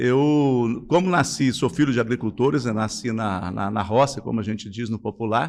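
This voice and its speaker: This is an ordinary speaking voice with ordinary pitch variation. The background is quiet. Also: man. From Brazil, Espírito Santo (Cachoeiro de Itapemirim countryside). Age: 50s. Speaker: businessman. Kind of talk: interview.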